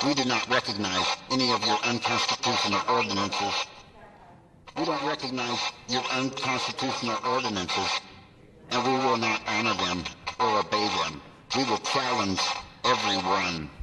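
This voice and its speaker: A man performs a put-on character voice, leaving long, frequent pauses. Loud background noise runs underneath. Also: medium pitch for a man, moderate pace. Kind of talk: public comment at city council meeting. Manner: angry, repetitive.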